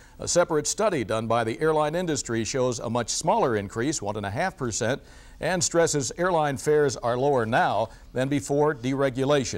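A man talks at a moderate pace, pitched fairly high and with lively intonation. His is an ordinary speaking voice. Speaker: business reporter. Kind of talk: formal TV newsreading, business report. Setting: TV studio newscast. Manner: formal; brisk, even, professional delivery.

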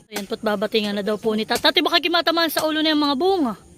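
A woman is speaking. Her intonation is lively. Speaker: farming vlogger. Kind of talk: casual vlog narration. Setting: outdoors at a farm.

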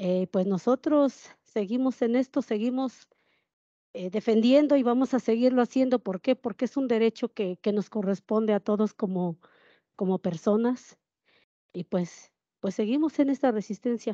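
Against a quiet background, a woman with a fairly high pitch and a dark, mellow tone speaks at a fairly slow pace with ordinary pitch variation, the sound dry with no echo. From Mexico, Puebla, Cholula region; Puebla, Mexico. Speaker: panelist. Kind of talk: panel discussion. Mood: earnest, determined. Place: hall. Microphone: handheld.

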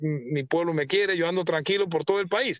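Over a quiet background, a man with a high pitch speaks at a fairly quick pace with fairly even intonation. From Panama. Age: 40s. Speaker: mayor. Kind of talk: radio interview. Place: car.

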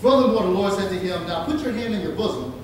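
A man's high, lively voice with strong room echo and light background noise. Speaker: preacher. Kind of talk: sermon. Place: church.

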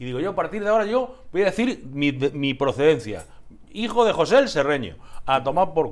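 Talking at a fairly quick pace, a man with a fairly high pitch and vocal fry makes very wide pitch swings. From Andalusia. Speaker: TV talk show host. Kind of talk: casual interview. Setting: TV studio. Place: studio. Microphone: lapel.

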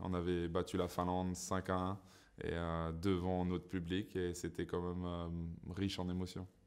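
The voice belongs to a man with a very deep, low pitch. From Saint-Pierre-et-Miquelon. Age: 30s. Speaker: professional ice hockey player. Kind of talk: interview answers. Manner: hesitant, many fillers and repetitions. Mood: relaxed, smiling. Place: studio.

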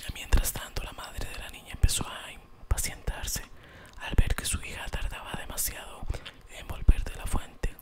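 Whispering, a man keeps to a moderate pace. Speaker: ASMR storyteller. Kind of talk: fairy tale narration. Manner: soft, whispered, relaxing. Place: home room. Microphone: studio mic.

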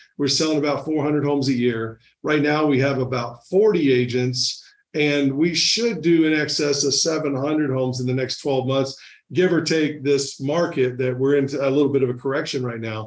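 Fairly even intonation runs through a man's moderately paced speech. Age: 50s. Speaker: real estate team leader; podcast guest. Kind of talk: casual interview. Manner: halting, repeats words. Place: office. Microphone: studio mic.

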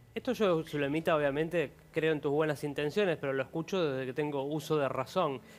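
A man with a normal speaking voice talks at a fairly quick pace, with ordinary pitch variation and hardly any pauses. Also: fairly high pitch for a man. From Argentina. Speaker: TV show host. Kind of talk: TV talk show. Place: studio.

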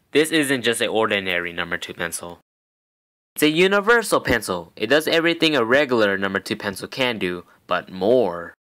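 A man talks at a fairly quick pace and medium pitch, his tone bright, sharp, animated and cheerful. His pitch swings very widely. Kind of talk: parody vintage infomercial, sales pitch. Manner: animated, over-the-top salesman pitch, exaggerated cheerful announcer tone.

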